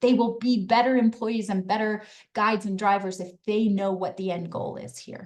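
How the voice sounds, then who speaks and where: A woman is talking. The variation in her pitch is ordinary. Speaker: business advisor and webinar presenter. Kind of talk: webinar presentation; casual chat. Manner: fast.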